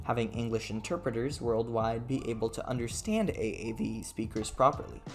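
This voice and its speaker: A man's medium-pitched voice at a fairly quick pace with fairly even intonation, music in the background. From Brazil. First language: Brazilian Portuguese. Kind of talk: video essay narration over gameplay. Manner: casual, sardonic.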